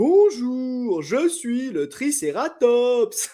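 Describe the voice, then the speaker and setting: A female-sounding put-on character voice sits high in pitch, with very wide swings up and down. It moves at a very slow pace. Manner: comic.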